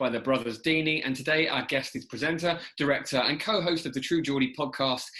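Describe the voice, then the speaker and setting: A man with a plain, everyday voice talks at a fairly quick pace, using ordinary pitch variation. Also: hardly any pauses. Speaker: podcast host. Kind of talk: casual conversation.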